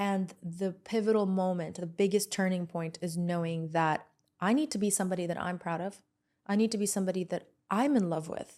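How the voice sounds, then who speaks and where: A woman with a dark, mellow tone speaks at medium pitch and a fairly quick pace, with ordinary pitch variation. The recording is very clean, with a silent background. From Lebanon. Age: 30s. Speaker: entrepreneur and podcast host. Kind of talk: podcast interview.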